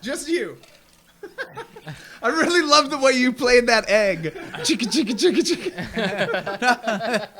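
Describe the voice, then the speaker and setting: Over noticeable background noise, a man with an American accent speaks in a raised, projected voice at an extremely high pitch and a very slow pace, with very wide pitch swings, big swings in loudness and long, frequent pauses. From England, later South Georgia. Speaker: local musician. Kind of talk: casual podcast chat. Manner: dry.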